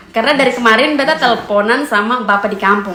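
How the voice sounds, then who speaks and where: High female voice with ordinary pitch variation, audible room echo and noticeable background noise. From eastern Indonesia, NTT (East Nusa Tenggara). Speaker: family vlogger. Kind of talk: casual vlog talk to camera. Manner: code-switches between Indonesian, NTT dialect and English.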